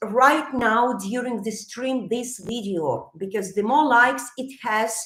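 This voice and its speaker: A loud woman speaks with ordinary pitch variation amid audible room echo. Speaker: psychologist. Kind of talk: live stream talk. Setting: live stream.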